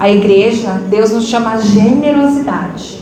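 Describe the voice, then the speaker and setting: At a very slow pace, a woman talks in a fairly high voice with ordinary pitch variation, amid noticeable background noise and audible room echo. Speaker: catechist teaching confirmation class. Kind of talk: class lecture to youth. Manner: conversational, interactive.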